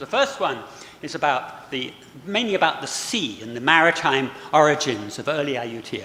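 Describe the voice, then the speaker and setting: Against noticeable background noise, a man talks at a moderate pace. His fairly high pitch moves in very wide swings. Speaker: historian and book author. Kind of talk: lecture. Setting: auditorium with live audience.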